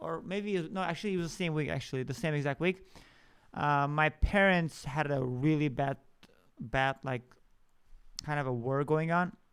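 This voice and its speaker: A man's fairly high voice with ordinary pitch variation and long, frequent pauses. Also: moderate pace. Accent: non-native. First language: not English. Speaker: podcast host. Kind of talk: personal storytelling monologue. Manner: halting, many fillers and restarts.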